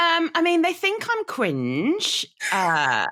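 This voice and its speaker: A woman speaks at a very slow pace in a Birmingham accent. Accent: Brummie. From Birmingham, England. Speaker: content creator. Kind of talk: casual chat.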